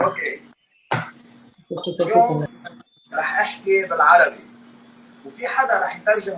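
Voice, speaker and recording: This man speaks in a Lebanese accent, his voice raised and projected. His pitch is high and his pace fairly slow. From Lebanon. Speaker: chef. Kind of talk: cooking demonstration.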